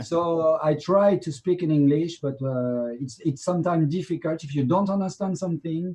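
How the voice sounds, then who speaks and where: With a French accent and a fairly high pitch, a man speaks in a dark, mellow tone with hardly any pauses. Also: ordinary pitch variation, moderate pace. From France. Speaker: documentary director. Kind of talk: interview. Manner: halting.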